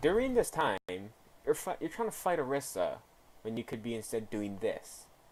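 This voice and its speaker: In a very clean recording with a silent background, a man with a fairly high pitch speaks at a moderate pace, swinging his pitch very widely and leaving long, frequent pauses. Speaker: gaming coach reviewing gameplay. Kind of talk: video game replay review. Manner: rambling, hesitant.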